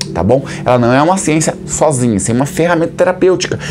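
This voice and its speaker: Over music in the background, a man with a fairly high pitch speaks at a fairly quick pace with lively intonation. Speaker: hypnotherapist and instructor. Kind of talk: explainer talk to camera. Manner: animated, rhetorical questions.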